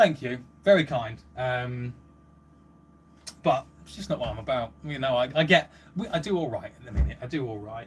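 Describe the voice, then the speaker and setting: A man with an English accent uses lively intonation and big swings in loudness. He leaves long, frequent pauses. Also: medium pitch for a man. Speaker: livestreamer and car audio hobbyist. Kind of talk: live stream chat reading comments. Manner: fast; animated.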